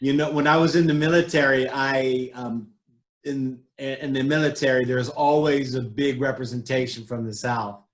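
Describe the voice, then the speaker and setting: Speaking with an American accent and a normal speaking voice, a man keeps a medium pitch, fairly even intonation and a moderate pace. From California. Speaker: realtor and show host. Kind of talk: interview.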